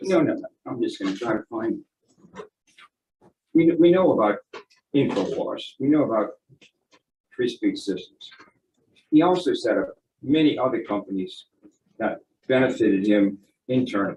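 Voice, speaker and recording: A man keeps a moderate pace but breaks his speech with long, frequent pauses. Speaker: expert witness, economist. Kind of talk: courtroom testimony. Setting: courtroom witness stand. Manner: halting, repeats words.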